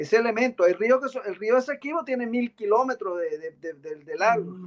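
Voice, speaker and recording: Male voice at an extremely high pitch, lively in intonation, fairly quick in pace, with big swings in loudness. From Venezuela, Guárico (llanos). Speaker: postdoctoral researcher presenting. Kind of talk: academic presentation discussion.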